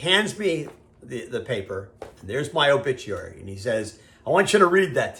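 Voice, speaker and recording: Very wide swings mark the pitch as a man speaks. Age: 60s. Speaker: business commentator. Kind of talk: casual video monologue. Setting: video call. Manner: conversational.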